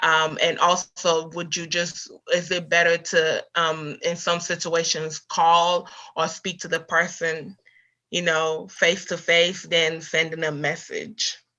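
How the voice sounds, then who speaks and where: A woman speaks very slowly in a fairly low pitch with a bright, sharp tone. Her intonation is monotone and flat over a quiet background. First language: not English. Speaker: student. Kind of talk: question in workshop. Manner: halting.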